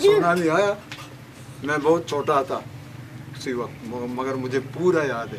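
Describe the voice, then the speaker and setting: Amid noticeable background noise, a man speaks at a fairly high pitch with ordinary pitch variation. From Balochistan, Pakistan. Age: 80s+. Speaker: tsunami eyewitness. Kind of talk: interview answer.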